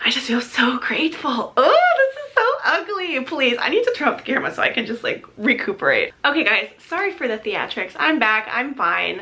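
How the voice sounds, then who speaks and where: Through noticeable background noise, a woman speaks at a moderate pace in a raised, projected voice, high in pitch and making very wide pitch swings. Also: hardly any pauses. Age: 20s. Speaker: lifestyle vlogger. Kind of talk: casual vlog monologue.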